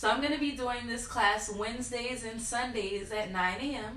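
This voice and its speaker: A woman speaks at a moderate pace with ordinary pitch variation. Noticeable background noise and audible room echo are present. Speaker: yoga instructor. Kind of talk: guided yoga class. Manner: loud.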